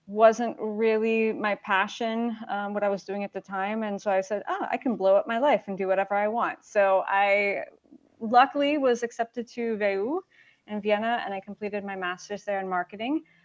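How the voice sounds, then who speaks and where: Dry and close with no echo, a woman with a slight Chicago accent speaks at a fairly high pitch. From US Midwest, Chicago. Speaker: startup marketing executive. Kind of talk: casual interview.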